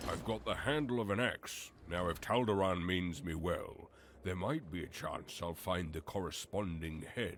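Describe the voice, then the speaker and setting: Over clear background noise, a man uses a put-on character voice with a very deep, low pitch at a moderate pace. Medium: video game. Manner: plain, self-talking.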